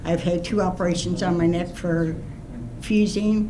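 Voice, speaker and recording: In a room with audible echo and noticeable background noise, a woman speaks at a fairly slow pace. Her pitch is medium and her intonation fairly even. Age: 80s+. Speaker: resident speaking at public hearing. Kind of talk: public comment.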